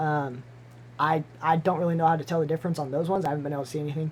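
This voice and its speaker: Mumbling at a very fast pace. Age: 20s. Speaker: aquarium hobbyist streamer. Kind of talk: live stream Q&A. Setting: live stream with webcam. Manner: halting.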